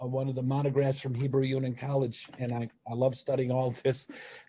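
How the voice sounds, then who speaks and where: A man with a fairly high pitch speaks in a dark, mellow, somewhat breathy voice. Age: 60s. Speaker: religious movement member. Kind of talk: personal testimony in online talk. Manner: halting, many repetitions and fillers.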